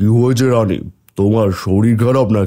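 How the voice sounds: A man puts on a cartoonish character voice. His pitch sits in the medium range.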